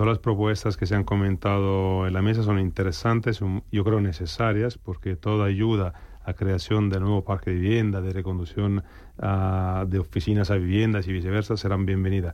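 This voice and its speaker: Speaking at a moderate pace, a man with a fairly low pitch and a dark, mellow tone keeps a monotone, flat intonation and very even loudness. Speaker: real estate CEO. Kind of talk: radio roundtable discussion.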